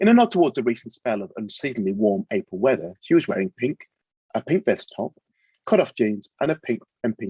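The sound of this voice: The voice reads in an unforced way. The background is quiet.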